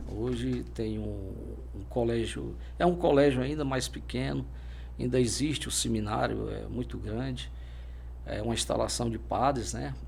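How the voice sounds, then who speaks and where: A man's very deep, low voice with vocal fry and monotone, flat intonation, at a fairly slow pace with long, frequent pauses, amid audible room echo. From Brazil, Fortaleza, Ceará. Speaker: military police officer. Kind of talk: interview. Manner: halting.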